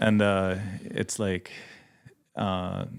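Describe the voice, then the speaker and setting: Very slow delivery with ordinary pitch variation on a very clean recording against a silent background. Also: man. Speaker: missionary pilot and mechanic. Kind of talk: podcast interview. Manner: halting, many fillers.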